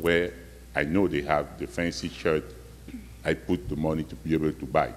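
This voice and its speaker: This man has a non-native accent, a very deep, low pitch, vocal fry and ordinary pitch variation, and he talks at a moderate pace. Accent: foreign accent, non-native. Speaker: community member speaking at public forum. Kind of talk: personal testimony at public meeting. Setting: community meeting in school hall.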